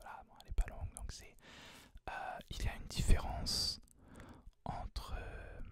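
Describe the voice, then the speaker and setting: Whispering from a man in a relaxed tone, fairly slow, with long, frequent pauses. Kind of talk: ASMR whispered book tag talk to camera. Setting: close microphone, home recording. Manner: whispered, soft-spoken, relaxed.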